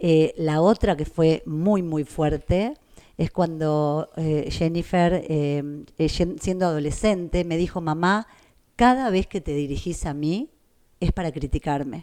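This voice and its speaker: A dark, mellow tone at a very slow pace, with ordinary pitch variation and a quiet background. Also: woman, fairly low pitch for a woman. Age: 60s. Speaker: mother of the host, works with elderly people. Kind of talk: intimate conversation with her son.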